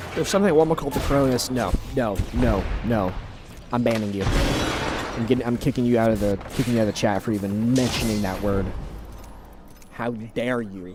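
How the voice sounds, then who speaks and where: Amid noticeable background noise and audible room echo, a man talks fairly quickly in a medium pitch with ordinary pitch variation. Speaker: gaming streamer and coach. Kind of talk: live stream chat. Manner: casual.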